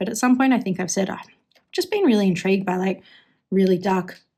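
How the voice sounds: In a put-on character voice, a woman talks at a very fast pace and a medium pitch with fairly even intonation. The voice is hoarse and raspy.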